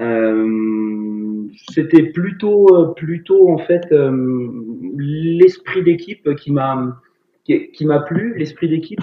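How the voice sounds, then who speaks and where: A man's voice with a fairly high pitch. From Paris region and Rennes area, Brittany. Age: 40s. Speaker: sports teacher and CrossFit athlete. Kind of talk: casual interview. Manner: halting, many fillers.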